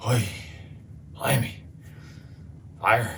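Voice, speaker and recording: Someone puts on a character voice in a Scottish accent over clear background noise. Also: man, medium pitch for a man. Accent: put-on Scottish. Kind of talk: comic overacting. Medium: comedy sketch. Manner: loud, exclamatory, repetitive.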